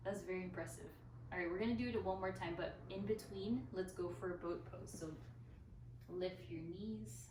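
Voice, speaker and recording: In a room with audible echo, a woman speaks at a moderate pace with a calm, soothing tone. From Philippines. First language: bilingual Tagalog and English. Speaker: yoga instructor. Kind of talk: guided yoga class instruction.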